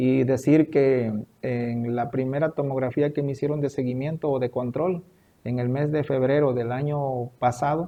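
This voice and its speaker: Using a normal speaking voice, a man talks at medium pitch and a fairly slow pace with fairly even intonation. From Veracruz, Mexico. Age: 40s. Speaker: cancer survivor. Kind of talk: interview testimony.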